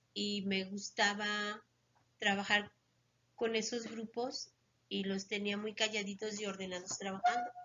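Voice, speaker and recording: Flat, monotone delivery from a woman at a medium pitch. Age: 60s. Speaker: retired schoolteacher. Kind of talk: interview.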